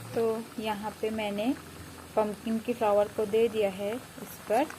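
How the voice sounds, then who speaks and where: A woman's fairly high, monotone, flat voice amid noticeable background noise. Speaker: village vlogger. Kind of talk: cooking vlog narration. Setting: home kitchen.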